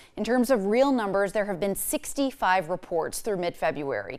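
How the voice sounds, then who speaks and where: A woman speaks in a normal speaking voice at medium pitch, with lively intonation and a moderate pace. The recording is very clean, with a silent background. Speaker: TV news anchor and reporter. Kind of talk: TV news report.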